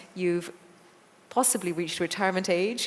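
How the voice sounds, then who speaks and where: A woman with an Irish accent talks at a moderate pace in a fairly low pitch, her intonation monotone and flat. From Ireland. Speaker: TV presenter and moderator. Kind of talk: interview moderation.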